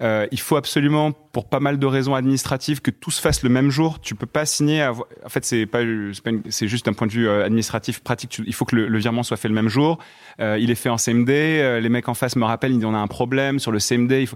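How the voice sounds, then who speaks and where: Recorded very cleanly over a silent background, a man talks at a fairly quick pace with fairly even intonation. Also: medium pitch for a man. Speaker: fintech startup co-founder. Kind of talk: interview, casual chat.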